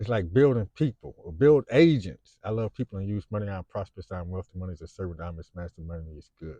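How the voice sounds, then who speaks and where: A man's very deep, low, somewhat breathy voice with lively intonation at a fairly quick pace, dry and close with no echo. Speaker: YouTuber, Navy veteran. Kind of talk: casual monologue vlog. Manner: animated, emotional.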